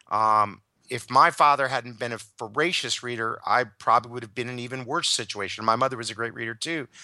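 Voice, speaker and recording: An American man speaks very fast in a bright, sharp tone at a medium pitch, with ordinary pitch variation. His loudness swings widely against a quiet background. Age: 50s. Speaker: leadership consultant. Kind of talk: interview.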